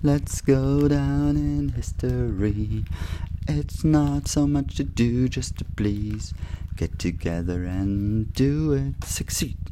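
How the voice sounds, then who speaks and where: A man speaks at a very slow pace in a very deep, low voice. His pitch swings very widely, with noticeable background noise. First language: German. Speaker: community radio host. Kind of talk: solo monologue. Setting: radio studio.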